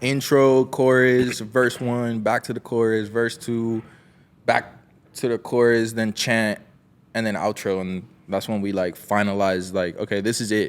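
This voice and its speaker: A man talks with a Miami accent. His pitch is medium, with ordinary pitch variation. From Miami, Florida. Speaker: musician. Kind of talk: casual interview chat. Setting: studio.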